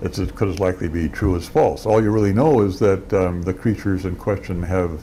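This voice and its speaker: Very deep, low-pitched male speech at a fairly quick pace, with ordinary pitch variation and light background noise. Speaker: philosopher. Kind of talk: interview answer. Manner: thoughtful, explanatory. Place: home room.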